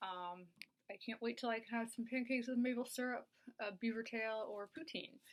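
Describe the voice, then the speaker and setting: A woman's normal speaking voice, fairly high in pitch, with a Canadian accent and a fairly quick pace. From Canada. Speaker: video blogger.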